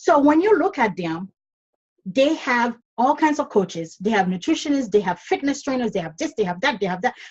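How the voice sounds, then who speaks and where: Swinging her pitch very widely, a woman talks at a fairly quick pace in a high register. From Caribbean, Dominica. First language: not English (English is fifth language). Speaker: online business coach. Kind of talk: podcast interview.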